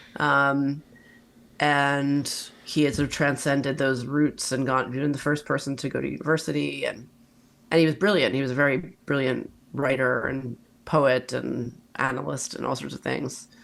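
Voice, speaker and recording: Vocal fry in an American accent, at a moderate pace with fairly even intonation. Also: woman, very deep, low pitch for a woman. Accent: American, drifts toward Belfast. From mixed: Brooklyn, Italy, Northern Ireland. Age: 40s. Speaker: writer. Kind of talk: interview conversation.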